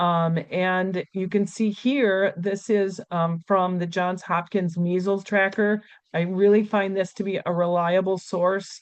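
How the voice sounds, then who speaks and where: Speaking at a fairly slow pace with hardly any pauses, a woman keeps a medium pitch and monotone, flat intonation. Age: 60s. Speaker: nurse and infection control expert. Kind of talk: webinar presentation. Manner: hesitant, many fillers.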